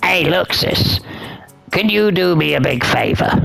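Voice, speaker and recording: A man performs a put-on character voice. His pitch sits high for a man. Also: moderate pace. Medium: solo performance. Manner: teasing, slightly stammering.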